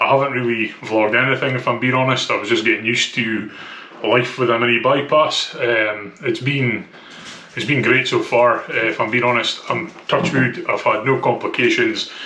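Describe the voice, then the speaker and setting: A man talks with a strong Scottish accent. There is audible room echo and noticeable background noise. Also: moderate pace. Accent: thick Scottish. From Scotland. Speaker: vlogger documenting weight loss. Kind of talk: casual vlog. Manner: hesitant, many fillers.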